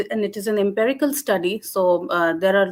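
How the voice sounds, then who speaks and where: A woman with a Jammu accent at a fairly quick pace. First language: Dogri. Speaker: linguistics lecturer. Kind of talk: academic webinar presentation. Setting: online webinar. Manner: hesitant, many fillers.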